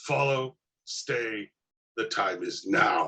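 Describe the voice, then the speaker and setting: Growling at a medium pitch, a man puts on a character voice. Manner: enraged, menacing.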